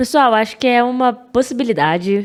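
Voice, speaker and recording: This is a woman speaking. She has a Rio de Janeiro accent. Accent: carioca. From Rio de Janeiro, Brazil. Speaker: data professional, podcast guest. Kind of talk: casual interview chat.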